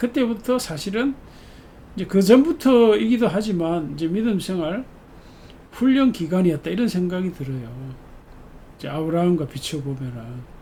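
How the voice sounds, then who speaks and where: Here a man speaks with a high pitch and a dark, mellow tone. His pitch swings very widely at a moderate pace. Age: 70s. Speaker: pastor. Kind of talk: sermon. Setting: church service. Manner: conversational, reflective with fillers.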